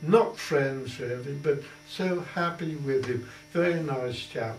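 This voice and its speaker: A man with an Essex accent, fairly high-pitched, speaking very slowly with ordinary pitch variation over background music and audible room echo. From Colchester, Essex, England. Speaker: war veteran. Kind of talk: oral history interview answer. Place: home room.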